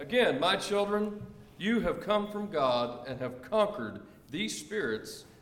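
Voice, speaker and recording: A man's fairly high voice at a fairly slow pace, with very wide pitch swings and noticeable background noise. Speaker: congregation member reading aloud. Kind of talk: reading aloud.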